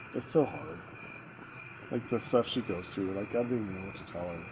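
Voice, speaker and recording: Amid noticeable background noise, a man with a fairly low voice talks at a moderate pace with ordinary pitch variation, big swings in loudness and long, frequent pauses. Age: 40s. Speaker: father in a fireside chat. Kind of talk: casual chat. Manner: animated.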